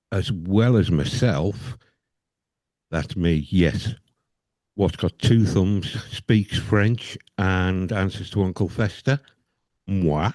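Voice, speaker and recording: With an English accent, a man speaks at a very slow pace with long, frequent pauses. His pitch is very deep and low, with ordinary pitch variation. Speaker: podcast host. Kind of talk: casual chat.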